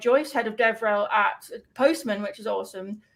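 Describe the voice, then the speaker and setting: Her voice is high-pitched, a woman with a British accent. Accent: British, noted by self. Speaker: developer advocate stream host. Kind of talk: live stream tutorial chat. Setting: live stream.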